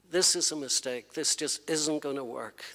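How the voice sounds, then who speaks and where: A man speaks with an Irish accent and fairly high pitch. His pace is moderate. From Ireland. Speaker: poet. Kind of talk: anecdote introducing a poem at a reading.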